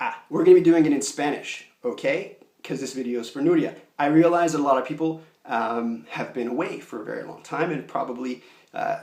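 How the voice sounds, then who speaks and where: Loudness rises and falls in big swings. The man keeps a fairly quick pace. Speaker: video instructor. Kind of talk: tutorial. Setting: small room at home. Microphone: echo in small room.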